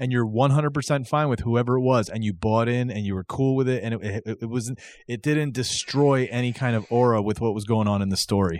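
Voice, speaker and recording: Speaking at a fairly quick pace with hardly any pauses, a man at medium pitch has a normal speaking voice, captured on a very clean recording with a silent background. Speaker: wrestling podcast host. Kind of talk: casual chat.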